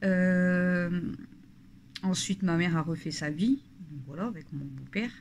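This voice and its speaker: The woman's voice is fairly low in pitch, with ordinary pitch variation. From northern France (Nord / Pas-de-Calais). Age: 30s. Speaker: family vlogger. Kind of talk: casual talk to camera. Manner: hesitant, many fillers.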